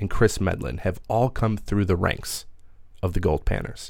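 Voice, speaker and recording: With an American accent, a man with a fairly low pitch, ordinary pitch variation and an unremarkable speaking voice is heard on a very clean recording with a silent background. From Minneapolis, US Midwest. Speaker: radio host. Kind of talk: podcast hosting and interview.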